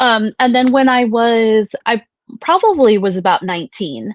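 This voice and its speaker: Against a quiet background, with a dry, close sound and no echo, a woman with a slight Wisconsin accent speaks at a fairly high pitch with ordinary pitch variation. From US Midwest, Wisconsin. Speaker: psychic medium. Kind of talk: interview.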